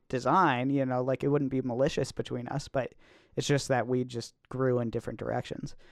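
Over a quiet background, a man talks at medium pitch and a moderate pace. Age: 20s. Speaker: podcast co-host. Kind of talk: casual chat. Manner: halting.

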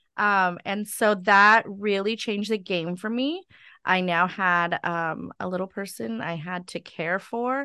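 A woman speaks at a medium pitch and a fairly slow pace, her bright, sharp tone captured dry and close with no echo over a quiet background, her pitch varying in an ordinary way. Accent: Californian. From California (Stockton). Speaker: preschool owner and director. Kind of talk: interview, personal testimony. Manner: frequent fillers (um).

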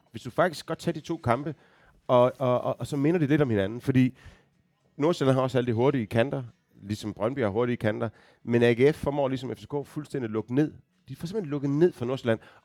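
A man's unremarkable speaking voice at medium pitch and a fairly quick pace, dry and close with no echo. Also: ordinary pitch variation. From Denmark, Aarhus. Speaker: football fan guest. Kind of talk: casual chat.

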